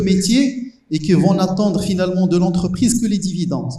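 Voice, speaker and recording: A man's high voice with a Moroccan accent, fairly slow with ordinary pitch variation, amid noticeable background noise and audible room echo. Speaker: professor. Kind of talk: panel discussion. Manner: halting, many hesitations.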